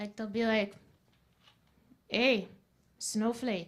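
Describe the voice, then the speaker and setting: A woman's fairly high-pitched voice. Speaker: student comedian. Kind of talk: stand-up. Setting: stage with audience.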